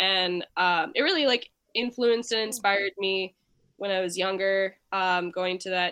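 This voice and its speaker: A woman speaks in a plain, everyday voice with an American accent, at a moderate pace and medium pitch, with ordinary pitch variation. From Nashville, Tennessee, US South. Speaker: musician and visual artist. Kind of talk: casual interview.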